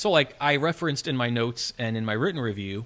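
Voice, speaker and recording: This man has an unremarkable speaking voice with an American accent. His medium pitch shows ordinary pitch variation. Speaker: film review podcast host. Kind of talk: casual review chat.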